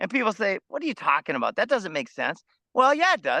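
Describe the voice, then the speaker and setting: A man with an American accent projects a raised voice with a bright, sharp tone and very wide pitch swings, sounding dry and close with no echo against a quiet background. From US Midwest, Minnesota. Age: 50s. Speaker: food forest farmer. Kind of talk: interview conversation.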